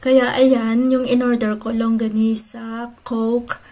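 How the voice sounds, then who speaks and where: Against noticeable background noise, a woman speaks at a fairly high pitch with monotone, flat intonation. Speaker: vlogger. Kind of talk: casual vlog narration.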